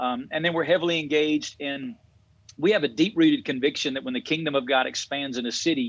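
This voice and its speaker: A man talks at a very fast pace in a Southern US accent. His fairly high voice has lively intonation. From Alabama. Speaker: pastor. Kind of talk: interview.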